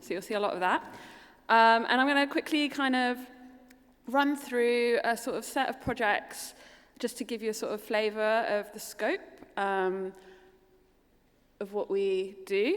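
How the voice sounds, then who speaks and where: A woman with a London accent speaks fairly slowly at a fairly high pitch, with ordinary pitch variation and long, frequent pauses. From London, England. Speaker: architect. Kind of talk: keynote presentation.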